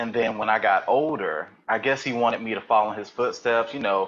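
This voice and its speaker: Medium-pitched man with a Southern US accent, moderate pace and fairly even intonation. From US South, eastern North Carolina. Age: 30s. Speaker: podcast guest. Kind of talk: interview. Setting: live webcast.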